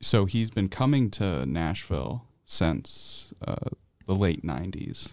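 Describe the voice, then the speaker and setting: Recorded very cleanly with a silent background, a man with a very deep, low voice and vocal fry speaks at a very slow pace with very wide pitch swings. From central New York. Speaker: college student. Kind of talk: radio interview. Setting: studio.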